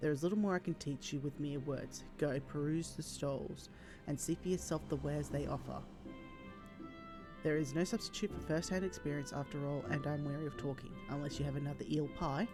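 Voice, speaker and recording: Someone speaks at a fairly quick pace and quietly, with music playing in the background. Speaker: video game streamer. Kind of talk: reading unvoiced game dialogue aloud. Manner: quiet, low volume.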